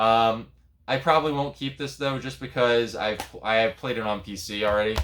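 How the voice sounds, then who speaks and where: Music plays in the background. The speech moves at a moderate pace with ordinary pitch variation. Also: man, medium pitch for a man. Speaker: video game collector vlogger. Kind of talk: casual vlog. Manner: loud; hesitant, many fillers.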